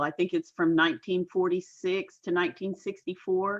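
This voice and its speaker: A woman speaks at a moderate pace in a medium-pitched voice. It is a normal speaking voice with ordinary pitch variation. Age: 60s. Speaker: entrepreneur and life coach. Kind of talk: casual interview chat. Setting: facebook live stream.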